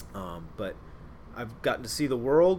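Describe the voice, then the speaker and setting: A man talks at medium pitch, and room echo is audible around him. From Ohio, Cincinnati. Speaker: naval officer. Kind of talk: interview, role-played in first person as a submarine; casual interview about own career.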